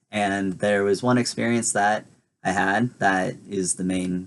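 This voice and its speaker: Against a quiet background, a man speaks in an ordinary speaking voice at a fairly low pitch. His pace is fairly slow and his intonation fairly even. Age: 20s. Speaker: vlogger. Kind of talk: casual talk to camera.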